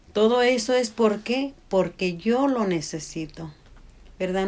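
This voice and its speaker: A woman speaks at a very slow pace. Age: 60s. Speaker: podcast co-host, mother. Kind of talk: casual chat.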